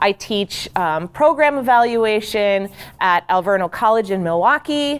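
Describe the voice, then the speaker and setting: This woman speaks loudly at a moderate pace. Her pitch swings very widely. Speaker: program evaluation trainer. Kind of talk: training workshop talk. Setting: large room with audience. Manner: loud, projecting. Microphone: speaking without a handheld mic, wearing recording mic.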